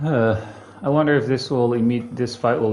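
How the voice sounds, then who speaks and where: There is noticeable background noise as a man speaks with a non-native accent. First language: not English. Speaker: video game streamer. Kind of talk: live gameplay commentary. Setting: live stream. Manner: casual, hesitant with fillers.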